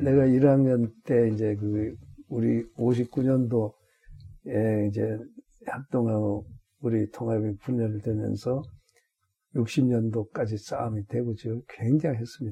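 A man speaks very slowly, with fairly even intonation. His voice is somewhat breathy. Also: medium pitch for a man. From Korea, North Gyeongsang (Gunwi). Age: 80s+. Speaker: retired senior pastor. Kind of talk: interview, life story. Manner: halting, many fillers and restarts.

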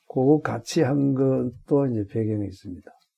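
Very slow, medium-pitched speech from a man, with ordinary pitch variation. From Korea, North Gyeongsang (Gunwi). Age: 80s+. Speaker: retired senior pastor. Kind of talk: interview, life story. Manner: halting, many fillers and restarts.

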